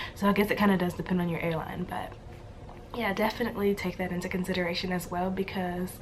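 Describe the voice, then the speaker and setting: A woman with an American accent talks at a very fast pace. Her pitch is medium, and there is noticeable background noise. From Louisiana, USA. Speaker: flight attendant. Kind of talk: casual talk to camera.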